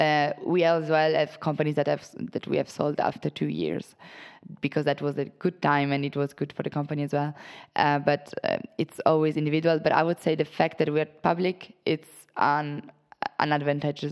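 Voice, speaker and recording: A woman with an Italian accent, a very deep, low pitch and monotone, flat intonation at a moderate pace, on a very clean recording with a silent background. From Italy. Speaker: private equity associate. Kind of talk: interview. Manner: hesitant, many fillers.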